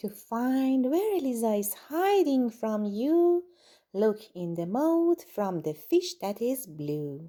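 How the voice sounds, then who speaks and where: A woman's put-on character voice, fairly high in pitch, with very wide pitch swings and a very slow pace. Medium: read story. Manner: gloating, menacing.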